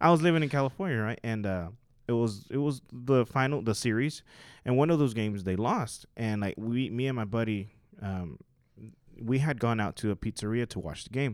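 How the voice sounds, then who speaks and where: In a very clean recording with a silent background, a man with an unremarkable speaking voice talks fairly quickly at a medium pitch with ordinary pitch variation. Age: 30s. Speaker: church musician and worship singer. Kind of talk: casual chat.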